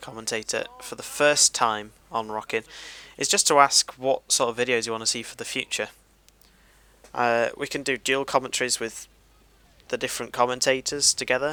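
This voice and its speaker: Medium-pitched male voice with a British accent, ordinary pitch variation, a moderate pace and long, frequent pauses, in a dry, close sound with no echo. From Great Britain. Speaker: gaming commentator. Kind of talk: gameplay commentary. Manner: laid-back; halting.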